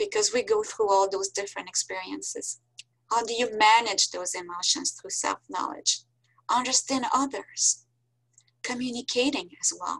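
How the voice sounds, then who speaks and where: In a French accent, a woman speaks at a moderate pace. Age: 60s. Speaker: professor. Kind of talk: lecture. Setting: video call.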